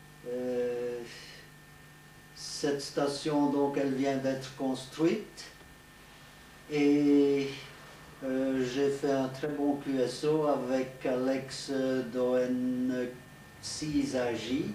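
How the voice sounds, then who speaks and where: Speaking at a very slow pace with long, frequent pauses, a man at medium pitch holds a monotone, flat intonation amid audible room echo and noticeable background noise. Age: 70s. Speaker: radio amateur, retired teacher. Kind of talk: show-and-tell presentation. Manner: hesitant.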